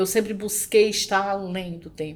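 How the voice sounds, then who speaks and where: A woman speaks at a fairly slow pace in an unremarkable speaking voice of medium pitch. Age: 50s. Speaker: educator and entrepreneur. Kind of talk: interview.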